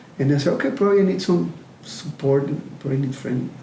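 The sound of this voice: There is audible room echo as a man talks at a fast pace, fairly high in pitch, with vocal fry, a dark, mellow tone and ordinary pitch variation.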